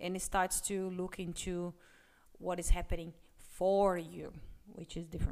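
A woman speaks at a medium pitch and moderate pace with a non-native accent, her tone dark and mellow and her intonation fairly even. Her loudness swings widely, and she takes long, frequent pauses. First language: not English. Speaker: business podcast co-host, former corporate employee. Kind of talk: casual chat.

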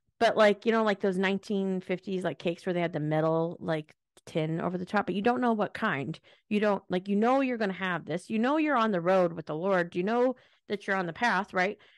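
In a dry, close recording with a silent background, a woman with an American accent talks at a fairly quick pace in an animated tone, her medium pitch showing ordinary variation. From US Pacific Northwest. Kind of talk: casual faith chat.

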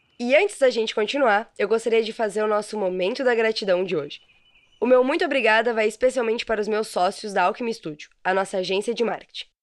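A woman at a fairly high pitch and a very fast pace. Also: ordinary pitch variation. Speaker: podcast host, mentor and copywriter. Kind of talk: solo podcast monologue.

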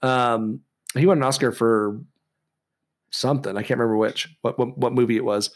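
On a very clean recording with a silent background, a man of medium pitch talks at a moderate pace with very even loudness, ordinary pitch variation and long, frequent pauses. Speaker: podcast co-host with a history degree. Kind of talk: casual chat. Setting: studio. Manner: preachy, speech-trained delivery.

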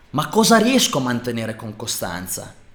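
With an animated tone and a touch of vocal fry, a man talks at a moderate pace, his pitch rising and falling very widely. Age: 30s. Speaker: fitness and lifestyle coach. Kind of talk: motivational monologue.

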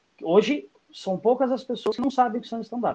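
A man talks at a moderate pace. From São Paulo east zone (Itaim Paulista/Curuçá). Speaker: stand-up comedian. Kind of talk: casual chat. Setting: YouTube livestream.

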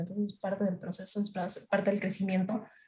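A woman has an unremarkable speaking voice. She talks at a moderate pace with fairly even intonation. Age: 20s. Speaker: social media content creator and university student. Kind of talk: casual interview.

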